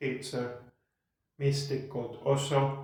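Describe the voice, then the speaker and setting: In a room with audible echo, a man at medium pitch talks in a monotone, flat intonation. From Finland (Lahti). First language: Finnish. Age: 40s. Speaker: podcast host. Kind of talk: casual monologue. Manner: pauses in speech; slow and clear.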